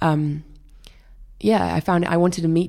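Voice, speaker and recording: A woman with a Welsh accent speaks at a moderate pace. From rural Wales. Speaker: illustrator. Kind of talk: interview.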